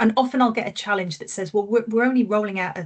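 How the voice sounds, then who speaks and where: A woman's somewhat breathy voice, medium in pitch, with ordinary pitch variation. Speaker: consultant. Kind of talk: webinar presentation. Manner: halting.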